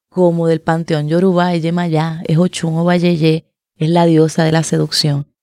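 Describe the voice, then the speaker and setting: A woman with a normal speaking voice and fairly low pitch talks at a fairly slow pace, the sound dry and close with no echo. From Puerto Rico. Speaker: writer and poet. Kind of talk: author introduction to a reading.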